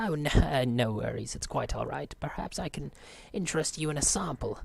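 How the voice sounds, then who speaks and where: A man's put-on character voice at a fairly quick pace, over light background noise. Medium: game stream. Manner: overly cheerful, polite.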